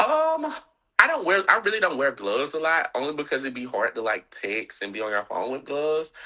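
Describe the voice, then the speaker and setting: With a Southern US accent, a man speaks in a bright, sharp tone against a quiet background. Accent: Southern, country. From US South, Atlanta, Georgia. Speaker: fashion blogger and reality TV personality. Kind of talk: casual interview chat.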